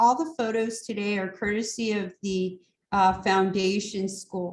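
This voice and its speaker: Speaking at a fairly slow pace, a woman has an ordinary speaking voice and a medium pitch. Her intonation stays fairly even. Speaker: community program organizer. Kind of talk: online meeting presentation.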